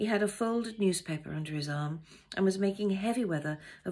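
Simply plain reading aloud

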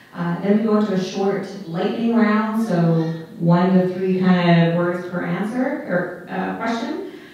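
Strong room echo around a woman speaking at a fairly slow pace with fairly even intonation. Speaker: debate moderator. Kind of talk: event moderation explaining format. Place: stage.

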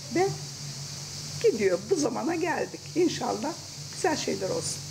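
Vocal fry and big pitch swings come through over clear background noise. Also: woman, high pitch for a woman, moderate pace.

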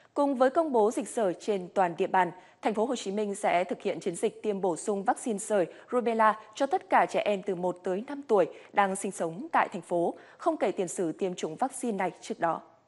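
Fairly quick delivery in a normal speaking voice, lively in its intonation. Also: woman, medium pitch for a woman. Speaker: news anchor. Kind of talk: news reading. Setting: studio. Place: studio. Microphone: lapel.

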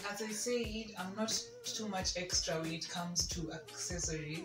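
A woman at a very slow pace, with clear music in the background. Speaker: fashion vlogger. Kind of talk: casual outfit presentation. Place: home room. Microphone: camera far.

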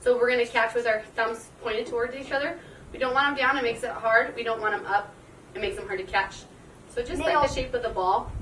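Speaking very fast at a high pitch, a woman shows ordinary pitch variation. Light background noise and audible room echo are present. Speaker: PE teacher. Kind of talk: tutorial. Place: open country. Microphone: camera far.

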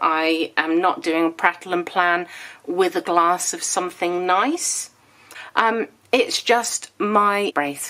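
A woman speaks slowly in a fairly low pitch, her tone bright and sharp, with ordinary pitch variation.

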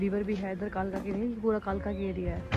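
Over clear background music, the voice sounds dry with no echo. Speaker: travel vlogger. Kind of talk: casual vlog chat. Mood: cheerful, excited. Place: street. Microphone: phone near.

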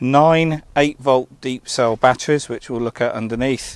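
A man talks with fairly even intonation. There is no echo, just a dry sound. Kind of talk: casual walkaround commentary. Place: open country. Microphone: phone near.

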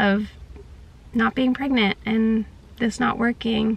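At a very slow pace, a woman speaks with fairly even intonation. The recording is dry, with no echo. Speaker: vlogger. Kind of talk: casual vlog chat. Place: car. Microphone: phone near.

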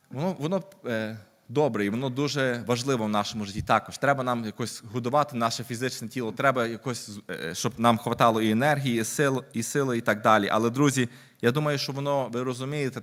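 A man talks at a very fast pace with fairly even intonation, on a very clean recording with a silent background. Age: 30s. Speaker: lay preacher. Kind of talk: sermon.

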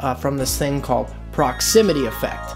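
Clear background music behind a man's moderately paced speech. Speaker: audio educator. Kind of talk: tutorial. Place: studio. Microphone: studio mic.

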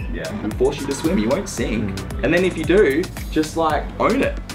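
A man keeps a moderate pace while clear music plays behind him. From Australia. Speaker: keynote speaker. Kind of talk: keynote speech. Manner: energetic. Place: meeting room.

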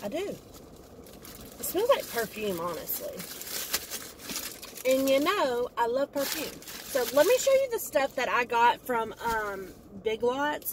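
Over light background noise, a woman speaks at a fairly slow pace with a dry sound and no echo. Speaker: haul vlogger. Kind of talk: casual vlog chat. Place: car. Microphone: phone near.

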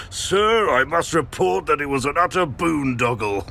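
A man puts on a character voice at a fairly high pitch, with very wide pitch swings. He keeps a moderate pace over clear background noise. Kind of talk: formal, pompous. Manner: silly, exaggerated.

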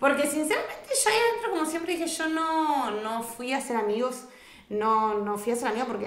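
A woman talks at a fairly quick pace in an animated tone, with ordinary pitch variation. Room echo is audible. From Argentina. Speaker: reality TV contestant; podcast guest. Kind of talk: casual interview. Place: studio.

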